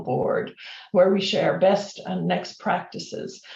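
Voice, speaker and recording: With an Irish accent, a woman speaks at a fairly slow pace amid noticeable background noise and audible room echo. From Ireland. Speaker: corporate learning executive, former professor. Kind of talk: webinar interview. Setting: video webinar.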